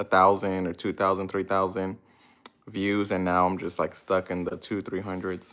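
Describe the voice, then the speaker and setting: Very deep and low in pitch, a man speaks at a moderate pace with monotone, flat intonation. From Mexican-American family, grew up in US with Spanish at home. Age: 30s. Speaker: lawn care business owner, YouTuber. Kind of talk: casual livestream Q&A. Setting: live stream. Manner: halting, many fillers and restarts.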